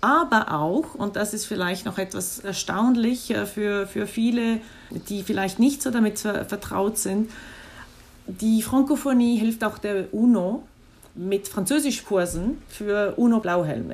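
Somewhat breathy, this woman talks at a very slow pace with ordinary pitch variation. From Switzerland. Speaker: diplomat. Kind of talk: interview. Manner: halting, with frequent fillers.

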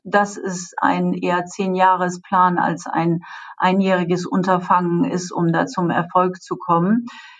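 A woman at a medium pitch, fairly slow in pace, with fairly even intonation. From Germany. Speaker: payments executive. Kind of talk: interview. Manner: hesitant, many filler sounds.

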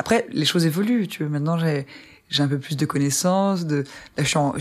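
An ordinary speaking voice from a woman, fairly low in pitch, at a fairly quick pace with lively intonation. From Ardennes, northern France. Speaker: musician. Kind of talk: casual interview.

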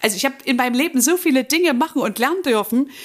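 Her pitch high, a woman talks at a fairly quick pace with lively intonation. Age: 50s. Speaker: life coach. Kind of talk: interview.

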